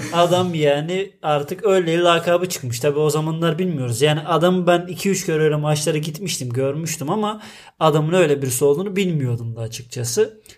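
Using a normal speaking voice, a man talks at a fairly quick pace and fairly high pitch with ordinary pitch variation and hardly any pauses. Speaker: podcast co-host. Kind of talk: casual chat.

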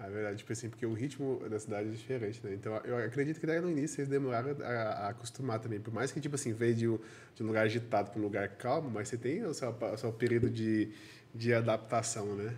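A man with a medium-pitched, somewhat breathy voice talks very fast, his intonation fairly even. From Caldas Novas area, Goiás, Brazil. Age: 30s. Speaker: podcast host. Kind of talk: podcast interview.

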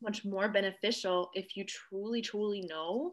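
An unremarkable speaking voice from a woman at medium pitch, fairly slow, with ordinary pitch variation. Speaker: podcast host. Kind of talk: casual interview chat.

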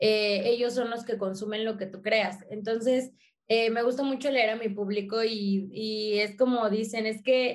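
At a fairly slow pace, a woman with a plain, everyday voice speaks at a fairly high pitch with ordinary pitch variation. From Mexico, working-class neighbourhood. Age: 20s. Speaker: content creator and comedian. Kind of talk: casual interview chat.

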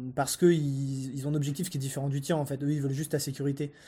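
A man talks at a very fast pace with a fairly high pitch. His tone is dark and mellow, and somewhat breathy. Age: 20s. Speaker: entrepreneur. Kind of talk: casual interview chat.

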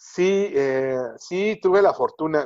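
A man speaks with lively intonation. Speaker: entertainment reporter. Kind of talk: interview.

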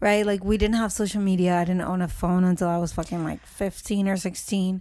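On a very clean recording with a silent background, a woman at medium pitch speaks at a moderate pace in a monotone, flat intonation. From Honduras. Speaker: podcast co-host. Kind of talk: casual, profane.

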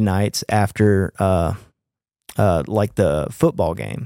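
A man with a Mississippi accent speaks in a dark, mellow tone. The sound is dry and close with no echo, on a very clean recording with a silent background. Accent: Mississippi Southern US. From US South, Clinton near Jackson, Mississippi. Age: 30s. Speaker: touring guitarist. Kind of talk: casual chat.

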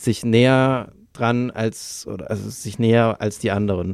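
A plain, everyday voice with fairly even intonation. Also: man. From Bavaria, Lower Franconia. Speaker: podcast co-host. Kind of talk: casual chat.

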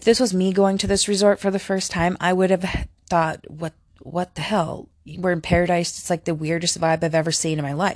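Fairly even intonation marks speech that moves at a moderate pace. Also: woman, fairly low pitch for a woman. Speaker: podcast host and film reviewer. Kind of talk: casual solo movie review. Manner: casual, chatty, filler words.

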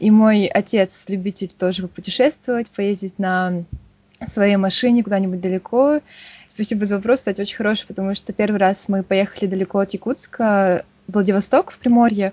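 Somewhat breathy, a woman speaks at a medium pitch. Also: moderate pace. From Yakutsk, Russia. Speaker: geology researcher. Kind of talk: casual interview.

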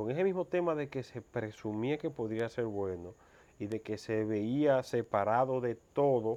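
The man's voice is dark and mellow in tone. It sits at a medium pitch and varies in an ordinary way. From Dominican Republic, Mao. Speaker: cancer survivor. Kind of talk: interview testimony.

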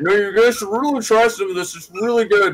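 A man does a put-on character voice, pitched high. He speaks at a very fast pace.

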